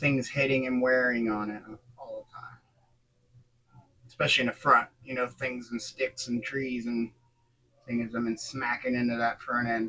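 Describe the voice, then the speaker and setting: With monotone, flat intonation, a man speaks quietly at a medium pitch and a moderate pace, leaving long, frequent pauses. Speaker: scale model builder. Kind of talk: tutorial. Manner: casual, halting.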